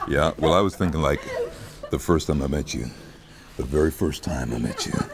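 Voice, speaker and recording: Over noticeable background noise, a man with a very deep, low voice speaks at a fairly quick pace with ordinary pitch variation. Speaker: voice actor. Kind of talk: interview answer. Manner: seductive, low, intimate. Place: studio. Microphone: lapel.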